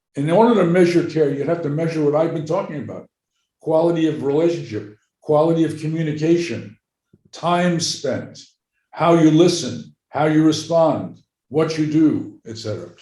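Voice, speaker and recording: Moderately paced speech from a man with a fairly high pitch, a dark, mellow tone and an American accent, with ordinary pitch variation and audible room echo. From New York. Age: 80s+. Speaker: psychiatrist and medical anthropologist. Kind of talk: interview.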